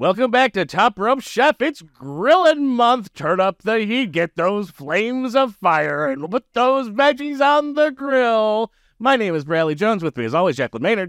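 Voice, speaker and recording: A man puts on a high character voice with very wide pitch swings. He keeps a moderate pace over a quiet background. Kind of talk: announcer voice.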